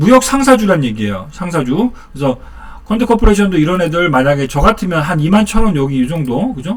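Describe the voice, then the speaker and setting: Noticeable background noise behind a man speaking at a fairly quick pace, his pitch swinging very widely. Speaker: stock market YouTuber. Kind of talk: casual market commentary. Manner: fast.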